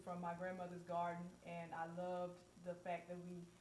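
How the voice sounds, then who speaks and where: The speaker has an American accent. Audible echo fills the room. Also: woman. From US South, Mississippi. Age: 30s. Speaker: co-host, holistic skincare business owner. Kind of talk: personal testimony on live panel. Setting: live stream video call.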